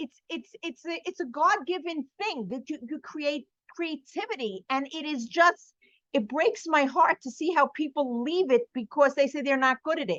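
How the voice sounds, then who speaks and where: A woman with a New York accent and a high voice sounds animated, her intonation lively and her loudness swinging widely at a moderate pace, in a dry, close recording with no echo. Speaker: artist and art teacher. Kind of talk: podcast interview.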